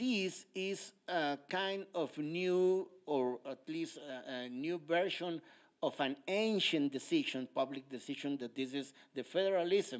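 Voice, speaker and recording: In a very clean recording with a silent background, a man with a fairly high voice talks at a very slow pace with lively intonation. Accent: Mexican. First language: Spanish. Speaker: politician. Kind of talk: lecture. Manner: halting, many hesitations.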